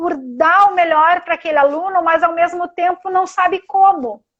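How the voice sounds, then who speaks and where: Her intonation fairly even, the woman speaks at an extremely high pitch. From Rio Grande do Sul, Brazil. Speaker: occupational therapist. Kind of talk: live-stream interview. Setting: Instagram live video call.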